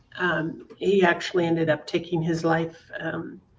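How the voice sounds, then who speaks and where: Against noticeable background noise, a woman speaks at a fairly low pitch in a monotone, flat intonation. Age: 60s. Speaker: guest sharing personal story of abuse. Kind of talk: testimony. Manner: halting.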